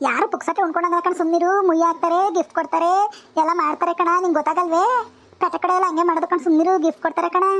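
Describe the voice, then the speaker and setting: Using a cartoonish character voice, a woman speaks at an extremely high pitch, monotone and flat, with very even loudness. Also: fairly quick pace. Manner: insistent, emphatic.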